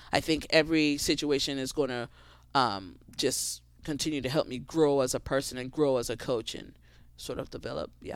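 Recorded very cleanly against a silent background, a woman with a very deep, low pitch talks at a moderate pace, with ordinary pitch variation and big swings in loudness. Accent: American. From Grenada, Caribbean. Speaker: tennis coach. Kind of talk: casual interview.

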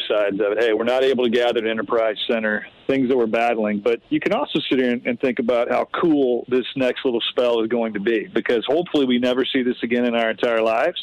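At a fairly quick pace, a man with a normal speaking voice talks at a medium pitch. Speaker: sports team executive. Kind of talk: radio interview. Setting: phone call from home front porch.

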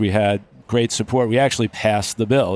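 A man with an American accent, medium pitch, monotone, flat intonation and a fairly quick pace. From Long Island, New York. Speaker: orthopedic surgeon. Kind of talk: interview. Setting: live at a conference.

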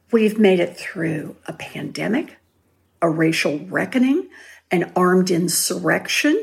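Using vocal fry, a woman speaks at medium pitch and a fairly slow pace with lively intonation. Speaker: author. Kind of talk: interview. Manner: soft-spoken.

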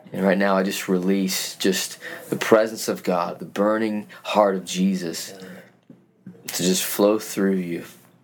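With an American accent, a man speaks at a very slow pace with hardly any pauses, his very deep, low voice monotone and flat. Noticeable background noise and audible room echo fill the recording. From Utah, US. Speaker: youth pastor. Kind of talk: casual interview. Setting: church.

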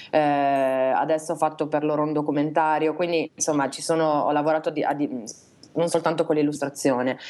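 A woman speaks with a very deep, low pitch. Her intonation is fairly even and her pace fairly quick. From Italy, Reggio Emilia. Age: 20s. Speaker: illustrator. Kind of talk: casual chat interview. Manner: halting.

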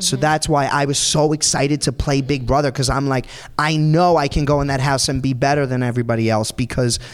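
A man talks fairly quickly in a medium pitch, his pitch varying in an ordinary way. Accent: New York. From New York, Staten Island. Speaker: Broadway performer. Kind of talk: interview. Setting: stage with audience.

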